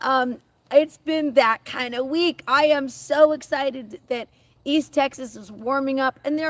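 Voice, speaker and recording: A woman's high-pitched voice at a fairly slow pace. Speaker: seed shop owner and gardener. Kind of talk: live stream chat. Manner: halting.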